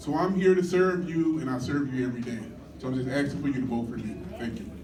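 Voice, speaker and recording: Talking at a very fast pace with lively intonation, a man with an American accent speaks at medium pitch amid audible room echo. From Detroit, US Midwest. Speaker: community council candidate. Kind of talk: campaign speech at community meeting. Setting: community meeting with audience.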